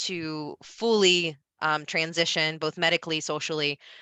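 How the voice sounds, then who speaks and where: With a Midwestern American accent, a woman talks at a fairly low pitch in a bright, sharp tone, the sound dry and close with no echo over a quiet background. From US Midwest, Ohio. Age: 30s. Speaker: presenter. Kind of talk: Q&A answer.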